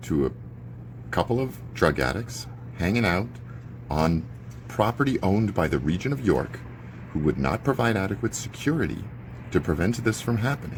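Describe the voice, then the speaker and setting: A man's voice moves through very wide pitch swings. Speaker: neighbourhood watchdog vlogger. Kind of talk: live video commentary. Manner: animated; loud.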